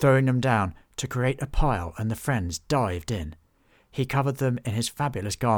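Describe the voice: Intonation stays lively throughout this plain reading aloud.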